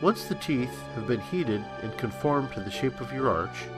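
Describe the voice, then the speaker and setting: A man speaks at a moderate pace and medium pitch, with music playing in the background. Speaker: costume teeth maker. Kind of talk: product tutorial narration.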